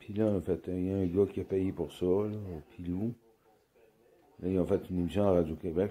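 A man talks at a fairly quick pace in a very deep, low pitch with fairly even intonation. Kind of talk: casual commentary. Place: home room. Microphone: phone near.

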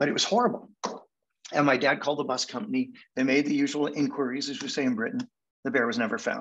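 A man with a Canadian accent speaks at a very fast pace. His fairly high pitch swings very widely. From Manchester, England, then Canada; England. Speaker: hypnotherapy speaker; speaker. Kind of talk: storytelling presentation. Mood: reflective, nostalgic childhood story. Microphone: video call.

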